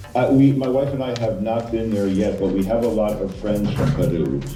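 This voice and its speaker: With an American accent and ordinary pitch variation, the voice comes through with audible room echo and music in the background. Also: man. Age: 60s. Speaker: guest speaker for school pupils. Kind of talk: casual Q&A with children over video call. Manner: hesitant, with repetitions.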